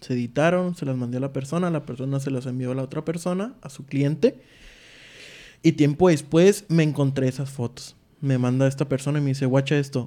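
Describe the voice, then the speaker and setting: Fairly high in pitch, a man speaks at a fairly quick pace with a dark, mellow tone and fairly even intonation. The recording is very clean, with a silent background. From Tijuana, Mexico. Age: 20s. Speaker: wedding photographer. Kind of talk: casual chat.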